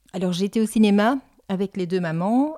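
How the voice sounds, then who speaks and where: On a very clean recording with a silent background, a woman's dark, mellow voice sounds dry and close with no echo. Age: 60s. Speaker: volunteer. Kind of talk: testimony.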